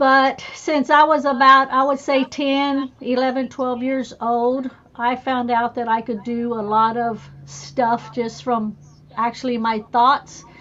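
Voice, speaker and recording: With an American accent, a woman speaks at high pitch and a very slow pace, her intonation fairly even. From Texas. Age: 60s. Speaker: spiritual healer. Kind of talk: casual chat.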